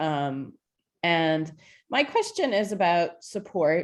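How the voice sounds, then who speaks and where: A woman talks at a very slow pace with a fairly low pitch and lively intonation against a quiet background. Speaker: elected school board representative. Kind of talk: public board meeting discussion. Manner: halting, many fillers.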